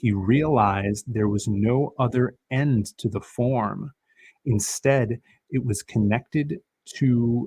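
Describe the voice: Ordinary pitch variation in plain reading aloud, with a quiet background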